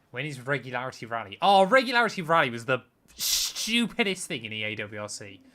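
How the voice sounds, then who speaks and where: A man with a West Country accent, medium pitch and a bright, sharp tone, talking very fast with very wide pitch swings and big swings in loudness. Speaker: gaming streamer. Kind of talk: live-stream casual chat while gaming.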